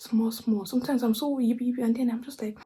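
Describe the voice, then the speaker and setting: With music in the background, a woman with a Nigerian accent talks at a very fast pace and a fairly high pitch. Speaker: vlogger. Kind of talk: casual monologue. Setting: at home late at night. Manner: soft-spoken.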